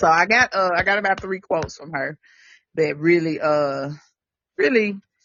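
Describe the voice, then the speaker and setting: Speaking with a Southern US accent, a woman keeps a moderate pace at a fairly low pitch with ordinary pitch variation. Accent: Southern, country. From Tennessee, US South. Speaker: podcast co-host. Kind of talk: casual chat.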